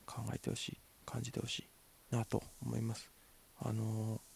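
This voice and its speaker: The man's voice has a dark, mellow tone. It sounds somewhat breathy. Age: 20s. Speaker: actor and podcast host. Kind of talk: solo casual talk. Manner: halting, many fillers.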